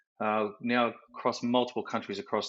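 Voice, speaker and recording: With an Australian accent, a man delivers his words at a fairly quick pace. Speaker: project management professional. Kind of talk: interview. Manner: casual, with many fillers.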